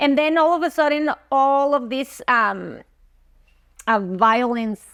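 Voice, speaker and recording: A woman speaks at a very slow pace and a high pitch, with ordinary pitch variation. The recording is very clean, its background silent. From Mexico, Chihuahua. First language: Spanish. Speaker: dentist. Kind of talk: interview testimony. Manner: halting, with fillers.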